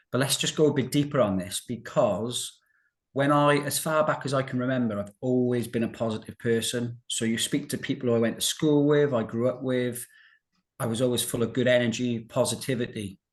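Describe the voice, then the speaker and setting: With a Welsh accent, a man speaks at a fairly quick pace in a medium pitch against a quiet background. His intonation stays fairly even. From South Wales, Newport. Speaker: financial services director and recovered colitis patient. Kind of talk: interview about personal health recovery.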